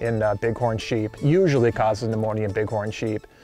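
The voice moves at a moderate pace with ordinary pitch variation, faint music in the background and a dry sound with no echo. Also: man. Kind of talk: interview answer. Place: open country.

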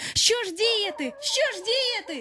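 A woman puts on a character voice with an extremely high pitch and a bright, sharp tone. She talks at a fairly slow pace with big pitch swings.

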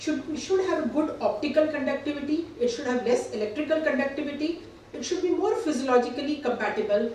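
A woman with a high pitch speaks at a fairly quick pace amid light background noise and audible room echo. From India. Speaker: gynecologist. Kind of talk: conference presentation. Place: hall. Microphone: camera far.

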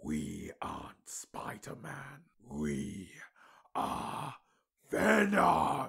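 A man's raspy put-on character voice, very deep and low in pitch, at a very slow pace with long, frequent pauses. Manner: menacing.

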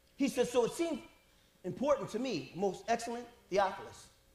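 A man talks with lively intonation. There is audible room echo around his voice. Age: 40s. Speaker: pastor. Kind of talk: sermon. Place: church.

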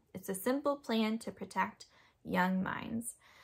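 Ordinary pitch variation from a female speaker. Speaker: book vlogger and mother; book reviewer. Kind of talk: casual monologue book review. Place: home room. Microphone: phone near.

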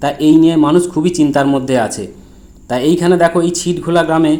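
Flat and monotone, a man talks at a fairly high pitch. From West Bengal, Hooghly district. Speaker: vlogger. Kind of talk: on-location video commentary. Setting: outdoors.

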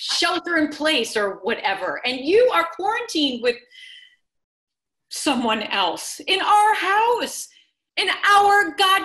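A woman's raised, projected voice at a very slow pace with very wide pitch swings against a quiet background. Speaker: actor. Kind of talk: scripted virtual theater monologue, couple bickering over video call. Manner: exasperated, sarcastic, argumentative. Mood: flustered, upset, defensive. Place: kitchen. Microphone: video call.

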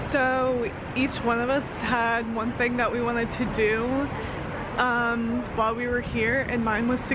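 Loud background noise fills the recording. Over it, a woman speaks at a moderate pace. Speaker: vlogger. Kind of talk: casual vlog chat. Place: street. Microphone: phone near.

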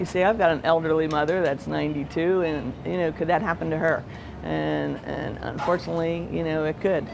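Amid noticeable background noise, a woman speaks at a fairly quick pace. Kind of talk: interview answer. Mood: earnest, concerned. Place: shop.

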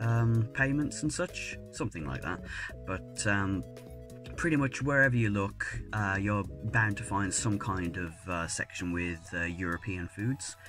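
A man speaks at a fairly slow pace in a fairly low pitch, with clear music in the background. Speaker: snack tasting vlogger. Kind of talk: casual vlog chat. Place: home room.

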